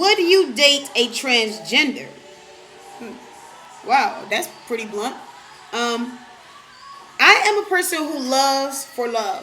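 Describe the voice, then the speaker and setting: Over background music and audible room echo, a woman with a New York accent speaks at a very slow pace in a raised, projected, high voice, with long, frequent pauses, very wide pitch swings, and big swings in loudness. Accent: New York-like. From Detroit, Michigan. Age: 20s. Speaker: vlogger. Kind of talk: casual Q&A vlog.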